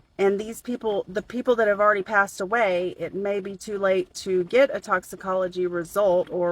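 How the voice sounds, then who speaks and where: A woman speaks at a moderate pace in a Southern US accent. The sound is dry and close, with no echo. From US South. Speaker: true crime commentator. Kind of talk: casual commentary video.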